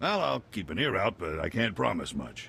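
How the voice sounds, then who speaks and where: The voice is a put-on character, raspy in sound. It moves at a moderate pace. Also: man. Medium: video game. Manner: casual, folksy.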